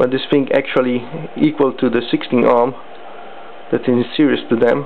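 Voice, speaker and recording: Someone with a non-native accent speaks at a moderate pace amid noticeable background noise. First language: not English. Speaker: electronics hobbyist. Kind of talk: tutorial. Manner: halting.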